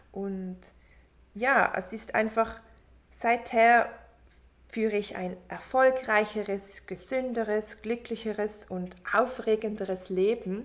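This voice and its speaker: Speaking at a very slow pace with long, frequent pauses, a woman has a fairly high voice, fairly even intonation and big swings in loudness. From Switzerland. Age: 30s. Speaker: podcast host, mindfulness coach. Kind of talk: motivational monologue. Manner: warm, soft.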